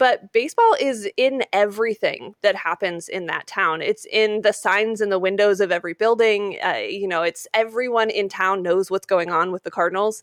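A woman with a normal speaking voice and an American accent talks at a moderate pace with hardly any pauses. Her medium pitch shows ordinary variation, recorded dry and close with no echo. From Utah, Salt Lake City. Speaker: sports broadcaster and podcaster. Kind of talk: casual interview.

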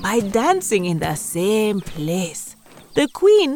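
The speaker reads in an unforced reading voice.

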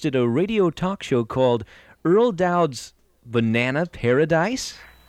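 The voice makes very wide pitch swings against a quiet background. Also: man. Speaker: narrator. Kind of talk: scripted narration.

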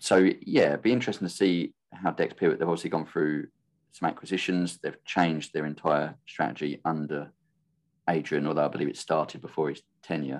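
A fairly quick British accent with fairly even intonation. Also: man, very deep, low pitch for a man. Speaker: podcast host. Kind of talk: casual chat. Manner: monotone.

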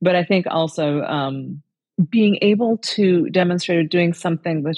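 In an American accent, a woman speaks at a moderate pace with an ordinary speaking voice, fairly low pitch and ordinary pitch variation. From rural Indiana, US Midwest. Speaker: parent. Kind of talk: casual chat.

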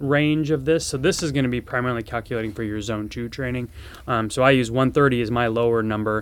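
A man speaks with a normal speaking voice at medium pitch. His pace is moderate and his pitch variation ordinary. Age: 40s. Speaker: surgeon and fitness podcast host. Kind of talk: solo educational podcast. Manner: casual with many filler words.

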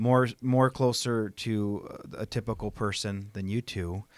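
Fairly slow and fairly even in intonation, a plain, everyday voice speaks with an American accent. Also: man, dry, close sound with no echo, very clean recording, silent background. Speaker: worship pastor. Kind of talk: casual chat.

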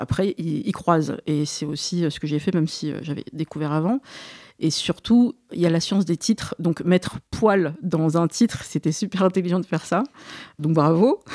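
At a moderate pace, a woman with a fairly low pitch and a dark, mellow tone talks with ordinary pitch variation in a dry, close sound with no echo. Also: very clean recording, silent background. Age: 40s. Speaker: podcast host. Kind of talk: interview conversation.

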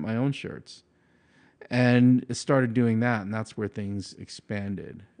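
A man speaks in a normal speaking voice with an American accent. His pitch varies in an ordinary way. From Long Island, New York. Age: 40s. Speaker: powerlifting coach and gym owner. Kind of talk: casual interview.

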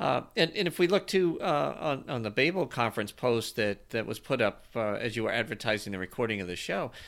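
Against a silent background in a very clean recording, a man with an unremarkable speaking voice and medium pitch talks at a moderate pace with lively intonation. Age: 50s. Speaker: podcast co-host. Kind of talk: casual chat.

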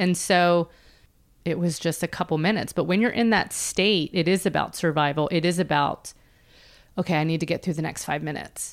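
A woman with an American accent and an unremarkable speaking voice, fairly low in pitch and fairly even in intonation, at a fairly quick pace in a very clean recording with a silent background. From Philadelphia, US. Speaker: entrepreneur and author. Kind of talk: interview, personal story.

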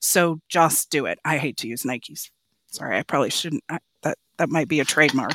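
Here a woman speaks with an American accent at a fairly quick pace, her pitch very deep and low. The sound is dry and close, with no echo. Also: ordinary pitch variation. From Oregon, US Pacific Northwest. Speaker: hotel company executive. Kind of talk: casual interview.

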